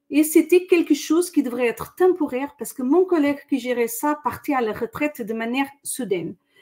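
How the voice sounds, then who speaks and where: A woman with a Portuguese accent speaks at a fairly quick pace. Her pitch is high and her intonation lively. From Portugal, Lisbon. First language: Portuguese (speaking French). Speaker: corporate training director. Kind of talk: webinar interview. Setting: online webinar.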